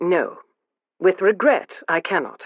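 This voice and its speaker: The put-on character voice is raspy and sits at a middle pitch. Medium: read story. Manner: careless, offhand.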